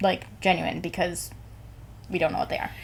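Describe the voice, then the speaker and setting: A woman speaks with noticeable vocal fry. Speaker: podcast co-host. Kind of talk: casual chat. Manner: loud; animated.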